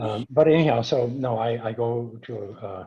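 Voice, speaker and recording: The man's voice has a dark, mellow tone and is somewhat breathy. His pitch is medium, with ordinary variation. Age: 70s. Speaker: earthing product developer. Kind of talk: webinar Q&A. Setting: online webinar. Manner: halting, many fillers and restarts.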